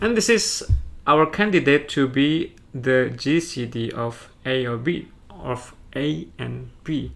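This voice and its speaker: A man with an Indonesian accent talks amid audible room echo. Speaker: math teacher. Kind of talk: lecture. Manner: halting.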